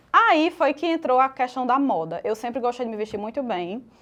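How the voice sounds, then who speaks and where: Fairly quick speech in a strong northeastern Brazilian accent carries lively intonation. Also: woman. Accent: northeastern Brazilian, kept strong. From Northeast Brazil, Natal. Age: 30s. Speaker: makeup artist and fashion influencer. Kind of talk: podcast interview.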